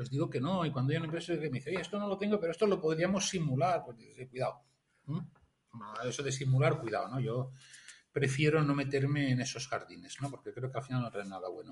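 This man talks at a very fast pace in a fairly high pitch, with ordinary pitch variation. His voice is somewhat breathy. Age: 50s. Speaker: industrial engineer and grants consultant. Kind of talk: interview. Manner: halting, many repetitions.

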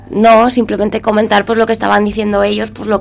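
A woman talks at a medium pitch while noticeable background noise plays behind her. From Spain, Soria. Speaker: university student, art history graduate. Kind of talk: interview.

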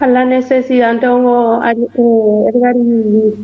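High, flat, monotone speech from a woman. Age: 30s. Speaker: community kitchen organizer. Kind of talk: interview.

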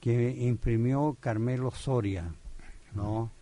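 A man with a medium-pitched voice speaks in a dark, mellow tone, his intonation fairly even. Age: 80s+. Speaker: poet and literature professor. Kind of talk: radio interview. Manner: halting, many fillers.

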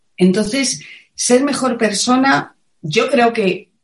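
A woman speaks in a Madrid accent with a somewhat breathy voice. Her pitch swings very widely. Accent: Castilian Spanish (Madrid). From Spain, Madrid. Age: 50s. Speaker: wellness teacher and author. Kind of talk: interview. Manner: passionate.

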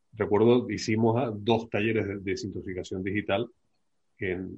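A man speaks in a fairly low pitch, a normal speaking voice. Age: 60s. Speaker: addiction therapist. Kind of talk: casual panel discussion.

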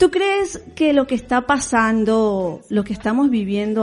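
Music plays in the background as a woman with a fairly high pitch speaks at a fairly slow pace with lively intonation. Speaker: radio host. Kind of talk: interview.

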